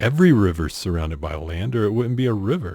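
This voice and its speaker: A man's somewhat breathy voice with a dark, mellow tone, very wide pitch swings and a moderate pace. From US South. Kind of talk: casual talk to camera.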